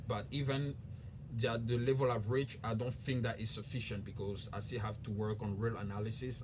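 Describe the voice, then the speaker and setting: With a West African accent, a man speaks at a fairly quick pace and a medium pitch, and audible room echo surrounds his voice. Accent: French-speaking West African. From Ivory Coast. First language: French. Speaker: YouTuber. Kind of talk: casual explainer video.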